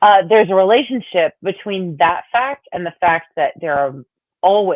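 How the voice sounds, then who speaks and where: A woman with a plain, everyday voice speaks at a moderate pace and a medium pitch, her intonation lively. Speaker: podcast co-host. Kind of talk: casual chat.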